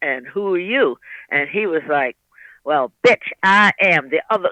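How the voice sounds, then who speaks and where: A woman's voice with vocal fry. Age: 80s+. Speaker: reverend and Stonewall veteran. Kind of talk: interview answer.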